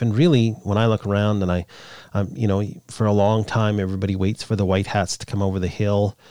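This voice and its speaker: A man with a Canadian accent and a dark, mellow tone speaks at a moderate pace, fairly low in pitch and fairly even in intonation, in a very clean recording with a silent background. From Canada. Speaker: podcast host. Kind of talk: solo monologue podcast.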